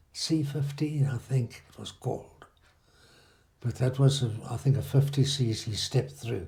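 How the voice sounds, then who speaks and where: A man's somewhat breathy, dark and mellow voice at medium pitch, fairly slow and fairly even in intonation, with big swings in loudness. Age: 80s+. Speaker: former motorcycle racer. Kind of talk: interview answer.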